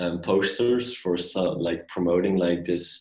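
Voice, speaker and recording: The man's voice has a very deep, low pitch. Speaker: illustrator. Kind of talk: interview. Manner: halting, many fillers.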